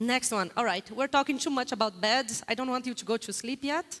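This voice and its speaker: A woman with a Brazilian accent speaks at a moderate pace in an animated tone, her high voice full of lively intonation. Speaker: guest lecturer on global data. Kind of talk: interactive lecture with audience polling.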